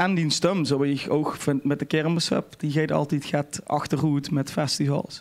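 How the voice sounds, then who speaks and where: A man speaks at a fairly slow pace. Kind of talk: casual podcast conversation, anecdote.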